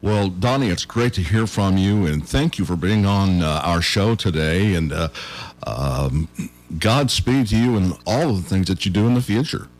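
Over noticeable background noise, the speaker talks in an American accent with lively intonation and very even loudness. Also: man, fairly low pitch for a man, moderate pace. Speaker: radio host. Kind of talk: casual radio interview. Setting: radio show.

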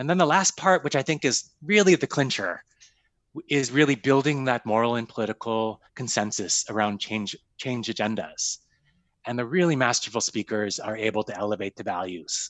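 A plain, everyday voice from a man, medium in pitch, at a moderate pace with lively intonation. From US Midwest, Sioux Falls, South Dakota. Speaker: foundation executive. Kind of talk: interview.

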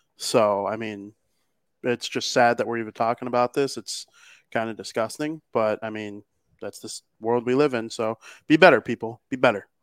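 In an American accent, a man uses a plain, everyday voice at medium pitch and a moderate pace, with fairly even intonation and big swings in loudness. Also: very clean recording, silent background. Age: 20s. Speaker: podcast co-host. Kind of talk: casual chat.

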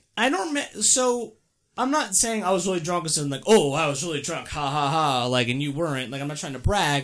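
With an ordinary speaking voice, a man talks at a fairly quick pace in a fairly high pitch and with lively intonation. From Maryland, near DC. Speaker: teacher. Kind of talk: casual chat.

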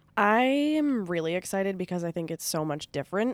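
Heard as a dry, close sound with no echo, a woman with an American accent talks at a fairly quick pace with very wide pitch swings. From New York (Long Island). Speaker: singer-songwriter. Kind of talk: casual chat.

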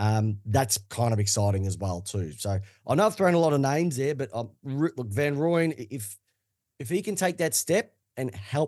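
Against a quiet background, a man with an Australian accent speaks in a dark, mellow, somewhat breathy tone with lively intonation. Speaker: football podcaster. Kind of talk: casual chat.

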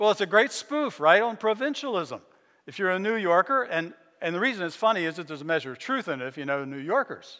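A man projects a raised voice at a high pitch and a very fast pace, with very wide pitch swings. His loudness swings widely too. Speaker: pastor. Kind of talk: sermon. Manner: halting.

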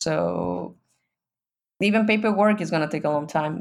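On a very clean recording with a silent background, a woman with a Mexican accent speaks fairly slowly at a fairly low pitch with ordinary pitch variation. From Mexico. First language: Spanish. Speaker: guest living abroad. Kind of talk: casual interview. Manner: laughs often, hesitant with fillers.

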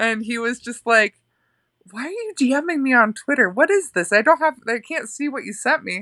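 A woman with an American accent talks at a moderate pace in a high, bright, sharp voice, her pitch swinging very widely and her loudness shifting a lot, all in a dry, close sound with no echo. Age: 30s. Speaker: illustrator. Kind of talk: casual chat.

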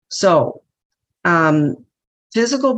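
With lively intonation, the woman talks very slowly. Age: 60s. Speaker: twelve-step speaker. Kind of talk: testimony. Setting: video call.

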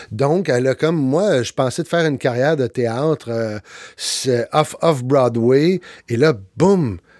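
Very slow speech comes from a man at medium pitch. The recording is very clean with a silent background, dry and close with no echo. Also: ordinary pitch variation, big swings in loudness. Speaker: actor, speaker and podcast host. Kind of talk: interview podcast. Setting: studio.

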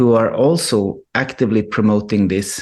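A man with a Swedish accent, fairly slow pace, quiet background. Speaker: filmmaker. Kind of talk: radio interview. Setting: remote call. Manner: halting.

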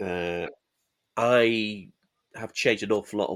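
A voice in a Yorkshire accent with ordinary pitch variation. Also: man. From Yorkshire, Halifax. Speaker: miniatures manufacturer and rules writer. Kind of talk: casual chat.

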